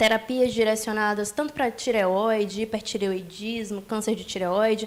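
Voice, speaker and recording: A woman speaks in a fairly high pitch with a strong Rio de Janeiro accent. Her pace is fairly slow and her intonation monotone and flat. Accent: strong Rio de Janeiro (carioca). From Bahia, Brazil (Salvador). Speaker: nuclear medicine physician. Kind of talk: interview. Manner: articulate.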